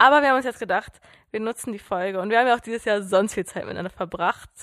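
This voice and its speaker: Talking at a very fast pace, a woman uses a fairly high pitch on a very clean recording with a silent background. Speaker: podcast co-host. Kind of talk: casual chat. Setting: sitting on a sofa at home.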